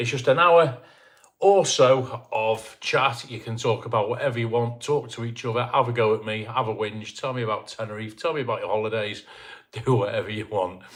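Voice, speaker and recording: Somewhat breathy, a man of medium pitch talks at a fairly quick pace with ordinary pitch variation. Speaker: YouTuber live-stream host. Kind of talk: casual live-stream chat. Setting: live stream at home, dim lighting.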